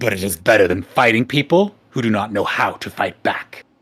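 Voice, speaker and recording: A man uses a put-on character voice at medium pitch. He keeps a moderate pace. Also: ordinary pitch variation. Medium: read story. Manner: commanding.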